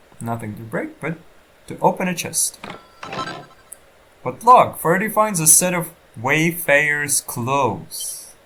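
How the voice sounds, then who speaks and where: A man at a fairly slow pace with long, frequent pauses, lively intonation, big swings in loudness and noticeable background noise. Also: fairly high pitch for a man. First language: not English. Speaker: gaming let's player. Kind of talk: let's play commentary. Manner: halting.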